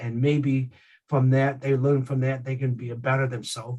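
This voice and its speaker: Somewhat breathy man at a medium pitch and moderate pace. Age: 50s. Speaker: keynote speaker, real estate agent. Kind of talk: speech at a virtual community event. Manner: halting, many repetitions and fillers.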